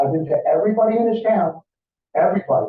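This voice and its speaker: Speaking very fast with an American accent, a man uses ordinary pitch variation. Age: 60s. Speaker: resident speaking at public comment. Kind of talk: public comment at council meeting.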